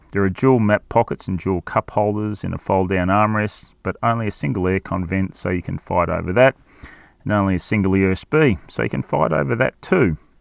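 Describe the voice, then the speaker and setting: At a fairly quick pace, a man with an Australian accent speaks with ordinary pitch variation. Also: fairly low pitch for a man. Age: old. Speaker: car reviewer. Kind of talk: product review.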